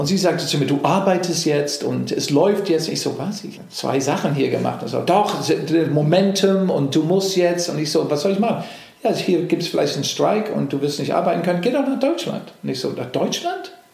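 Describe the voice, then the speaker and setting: Over noticeable background noise and audible room echo, a man speaks at a fairly quick pace in a high pitch with ordinary pitch variation. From England and Germany. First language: English (speaking German). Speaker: actor. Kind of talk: interview. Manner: halting, many fillers.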